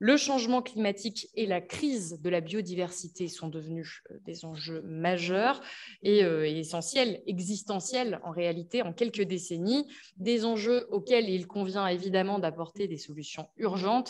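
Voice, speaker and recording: A woman talks at a fairly slow pace with a medium pitch. Her pitch varies in an ordinary way. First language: German (speaking French). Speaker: panel moderator. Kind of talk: moderated panel discussion. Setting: conference hall with audience, streamed on Zoom.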